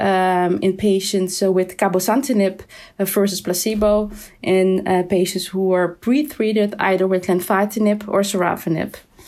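A woman with a Dutch accent at medium pitch, moderately paced and fairly even in intonation, on a very clean recording with a silent background. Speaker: endocrinologist. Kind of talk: expert discussion.

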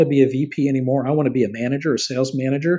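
This man talks at a very fast pace with a fairly high pitch. His tone is dark and mellow. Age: 50s. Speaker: podcast host and career trainer. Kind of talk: solo informational talk.

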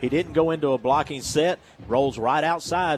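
With noticeable background noise, a man speaks at a fairly quick pace, his pitch fairly high and its variation ordinary. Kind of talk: color commentary, analysis of plays in a football broadcast. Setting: stadium broadcast booth. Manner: conversational, explanatory, animated with filler words.

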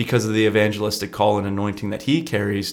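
A man talks in an ordinary speaking voice. His pitch is fairly low and his intonation fairly even. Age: 20s. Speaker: youth pastor. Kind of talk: casual chat. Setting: studio.

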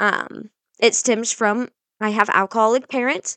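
A woman speaks with a fairly high pitch and a bright, sharp tone, recorded with a dry, close sound and no echo. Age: 20s. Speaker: podcast host, young mother. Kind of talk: casual solo monologue. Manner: informal, rambling.

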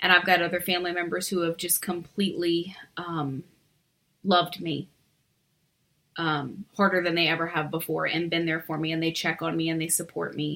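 A woman speaks with a bright, sharp tone at a fairly low pitch, her intonation monotone and flat. She keeps a moderate pace with long, frequent pauses. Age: 40s. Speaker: abuse survivor. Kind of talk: testimony.

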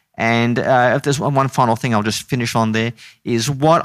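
A man with an Australian accent talks with ordinary pitch variation over a very clean recording and a silent background. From Queensland, Australia (Brisbane). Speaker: theology lecturer. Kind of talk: interview conversation.

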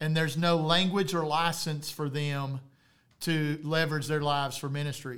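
Here a man with a plain, everyday voice speaks in a fairly high pitch at a moderate pace. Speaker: podcast host, church planting leader. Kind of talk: casual chat.

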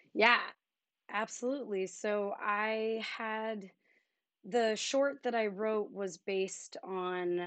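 Fairly even intonation runs through a woman's speech with an American accent. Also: quiet background. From Philadelphia suburbs, Pennsylvania. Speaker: filmmaker and dancer. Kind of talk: casual interview.

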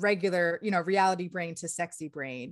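A woman speaks with an American accent at medium pitch and ordinary pitch variation. It is an ordinary speaking voice over a quiet background. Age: 40s. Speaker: sex coach. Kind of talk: interview.

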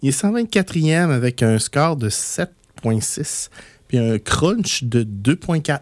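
Speaking very slowly in a Quebec accent, a man uses a fairly high pitch with very wide pitch swings, very even loudness, and a dry, close sound with no echo. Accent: Québécois French. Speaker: board game radio show host. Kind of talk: casual radio chat.

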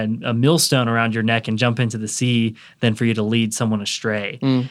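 In a very clean recording with a silent background, a man with an American accent and an unremarkable speaking voice talks at a fairly quick pace and medium pitch. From US South, Atlanta, Georgia. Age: 20s. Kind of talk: casual chat.

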